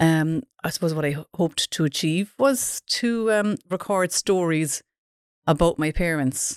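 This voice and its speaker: With a Cork accent, a woman speaks in a fairly low pitch, captured in a very clean recording with a silent background. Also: dry, close sound with no echo. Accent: Cork Irish. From Ireland, West Cork (Dunmanway). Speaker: marketing consultant and author. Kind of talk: interview.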